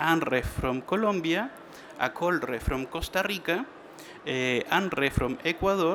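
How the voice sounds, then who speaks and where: A man speaks at a high pitch with lively intonation and very even loudness, at a fairly slow pace. Noticeable background noise is present. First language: Spanish. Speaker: trade association manager. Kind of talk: conference presentation. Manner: halting.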